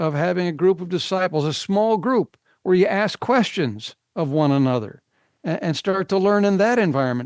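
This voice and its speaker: This man has an American accent and a high pitch with very wide pitch swings. He speaks at a moderate pace in a dry, close sound with no echo and a quiet background. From US Midwest, northern Illinois. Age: 70s. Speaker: biblical scholar. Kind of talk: interview.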